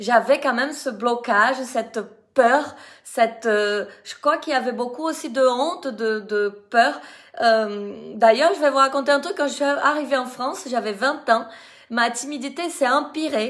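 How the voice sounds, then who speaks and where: In a Brazilian accent, a woman with a high voice speaks at a fairly slow pace with ordinary pitch variation, on a very clean recording with a silent background. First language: Portuguese (speaking French). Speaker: dance teacher. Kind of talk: live video testimony. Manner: halting.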